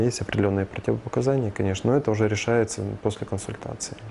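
Light background noise sits behind a man speaking at a fairly low pitch. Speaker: plastic surgeon. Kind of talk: interview. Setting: studio. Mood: calm, explanatory. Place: office. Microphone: lapel.

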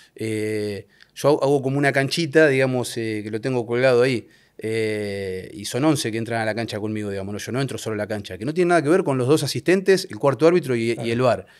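A man with an Argentine accent at a very fast pace, lively intonation and big swings in loudness, over a quiet background. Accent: Rioplatense Argentine Spanish. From Argentina, La Plata; Argentina. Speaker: football referee; guest. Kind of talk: casual interview chat. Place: studio. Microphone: studio mic.

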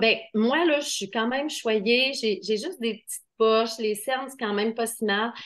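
A woman speaks fairly slowly with a Quebec accent. Her voice is fairly high, with lively intonation. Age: 50s. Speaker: skincare seller. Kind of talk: sales pitch. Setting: video call. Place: shop. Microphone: webcam.

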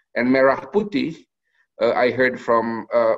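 A man talks at a moderate pace in a nasal voice of medium pitch, with ordinary pitch variation.

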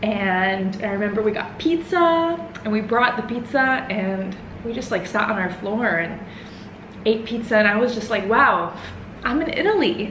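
Audible room echo and light background noise surround a woman with an American accent. Her pitch is fairly high and her pace moderate. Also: lively intonation. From Houston, Texas. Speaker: vlogger. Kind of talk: casual vlog to camera. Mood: emotional, nostalgic. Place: home room. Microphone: camera far.

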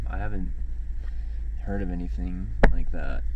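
A man's voice, dry with no echo, amid loud background noise. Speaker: delivery gig worker vlogger. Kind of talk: casual vlog chat. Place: car. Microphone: phone near.

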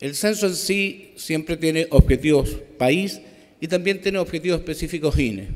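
The recording has a quiet background. A man with a fairly high pitch talks at a moderate pace with ordinary pitch variation. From Chile. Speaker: statistics official; conference presenter. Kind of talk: conference presentation. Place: hall. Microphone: podium.

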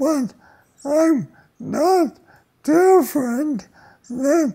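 The voice belongs to a woman with a dark, mellow tone. Her background stays quiet. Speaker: interviewee. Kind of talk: interview answer. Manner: slow, effortful speech of ALS patient. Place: home room.

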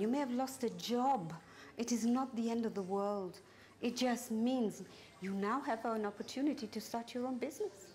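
A woman's dark, mellow tone at a moderate pace, with ordinary pitch variation and light background noise. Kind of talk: interview answer. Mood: calm, reflective, encouraging. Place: shop. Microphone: lapel.

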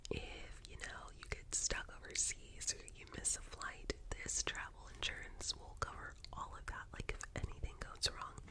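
At a moderate pace, a soft-spoken woman talks. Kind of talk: soft-spoken roleplay chat. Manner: soft close-mic ASMR speaking voice. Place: home room. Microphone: earbuds.

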